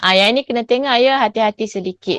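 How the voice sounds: A woman speaks with lively intonation and a fairly high pitch, and the sound is dry and close with no echo.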